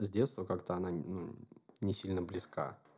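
Very deep and low, the man's voice has a dark, mellow tone and ordinary pitch variation. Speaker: podcast host. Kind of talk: casual interview chat.

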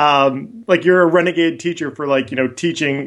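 A man speaks at a moderate pace with lively intonation. He has an unremarkable speaking voice. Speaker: high school teacher. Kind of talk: podcast interview.

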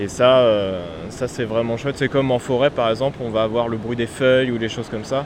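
Speaking at a fairly quick pace, a man keeps his intonation fairly even. His pitch sits in the medium range. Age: 20s. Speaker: musician and composer. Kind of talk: casual interview on location. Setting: outdoors by the sea.

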